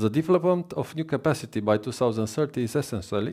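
The tone is dark and mellow, spoken with a Romanian accent over a quiet background. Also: man. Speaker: government minister. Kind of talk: formal speech. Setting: stage with audience at conference. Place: hall.

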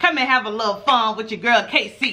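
A woman projects her raised voice. She talks at a fairly quick pace. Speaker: mukbang channel host. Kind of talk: casual vlog chat. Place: home room.

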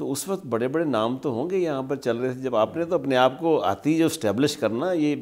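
Against a quiet background, a man talks at a moderate pace with hardly any pauses and ordinary pitch variation. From Pakistan. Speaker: TV interviewer. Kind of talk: interview. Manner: formal. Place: studio.

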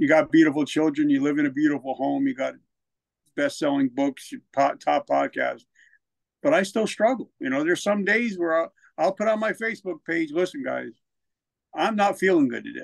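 Against a quiet background, a man with a New Jersey accent talks at a moderate pace, his fairly high voice full of lively intonation. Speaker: military veteran and author; podcast guest. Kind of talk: testimony. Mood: reflective, candid. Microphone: studio mic.

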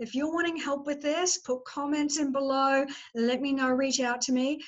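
A woman with a high pitch talks at a moderate pace against a quiet background. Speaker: business coach. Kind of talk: casual vlog chat. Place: home room. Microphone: webcam.

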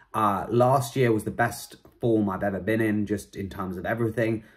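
A man with a plain, everyday voice and a fairly low pitch talks at a fairly quick pace against a quiet background. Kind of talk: casual vlog chat. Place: home room. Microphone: phone near.

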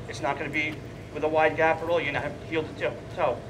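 A man rattles off his words very quickly, with clear background noise behind him. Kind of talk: instructional demonstration. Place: stage. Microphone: headset.

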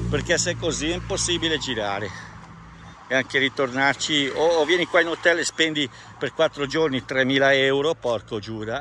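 A man's lively intonation in a dry sound with no echo, over light background noise. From Italy. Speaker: travel vlogger. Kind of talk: vlog monologue. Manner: rambling, fast. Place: open country. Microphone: phone near.

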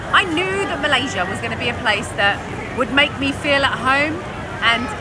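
A woman speaks at a moderate pace. Crowd noise can be heard behind her. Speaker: travel vlogger. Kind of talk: casual vlog chat. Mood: excited, warm. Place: market. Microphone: phone near.

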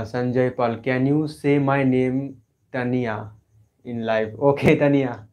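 A man speaks at a very slow pace with monotone, flat intonation. The background is quiet. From West Bengal, India. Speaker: art YouTuber, painter; art YouTuber. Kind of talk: live stream Q&A. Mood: cheerful, relaxed. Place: home room. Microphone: mic was faulty, may sound poor; lapel.

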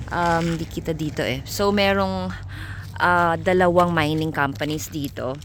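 A woman with a fairly low pitch talks very slowly, her pitch varying in an ordinary way. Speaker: vlogger. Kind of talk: cooking tutorial; casual vlog narration.

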